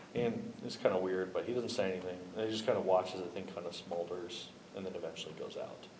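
A man talks with fairly even intonation. Room echo is audible, and background noise is noticeable. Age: 30s. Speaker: pastor. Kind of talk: casual chat.

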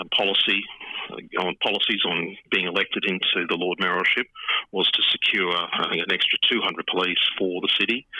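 Speaking at a moderate pace, a man with an Australian accent has a very deep, low voice. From Queensland, Australia. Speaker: hotel industry association chief executive. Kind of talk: interview. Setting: phone call.

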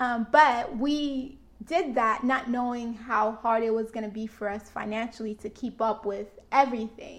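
Here a woman talks in a fairly high pitch at a moderate pace. Her intonation stays fairly even. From Florida. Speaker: married couple podcast co-host. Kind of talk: casual chat. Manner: voice goes up high.

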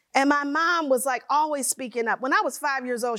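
A woman's high-pitched, raised, projected voice with an animated tone. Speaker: keynote speaker. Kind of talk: keynote speech. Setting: stage with audience.

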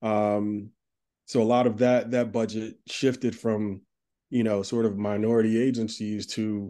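With an American accent, a man speaks at a moderate pace in a dark, mellow tone. His intonation is monotone and flat. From New Jersey, US. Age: 40s. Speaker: marketing executive. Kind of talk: casual interview.

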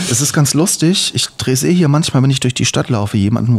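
His voice is somewhat breathy. The man talks very fast with lively intonation. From Hesse, Germany (eastern Hesse, Main-Kinzig district). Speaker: podcast co-host, video producer. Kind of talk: casual conversation, life story.

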